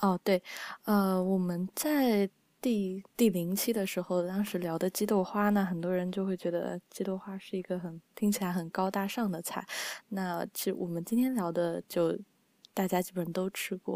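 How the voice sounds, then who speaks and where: A soft-spoken woman talks at a medium pitch with a dark, mellow tone. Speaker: podcast host and editor. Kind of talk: casual chat. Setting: online call.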